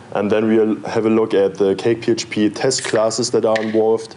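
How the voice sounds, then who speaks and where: Over noticeable background noise, a man with a German accent talks at medium pitch and a moderate pace. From Germany (Berlin). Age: 20s. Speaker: software developer and conference speaker. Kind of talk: conference talk. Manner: hesitant, with filler words.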